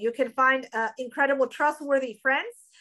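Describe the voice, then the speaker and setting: In a very clean recording with a silent background, a woman uses a raised, projected voice with a high pitch and a bright, sharp tone at a moderate pace. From Europe. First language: non-English European language. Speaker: business school dean. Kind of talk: interview. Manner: hesitant, many fillers.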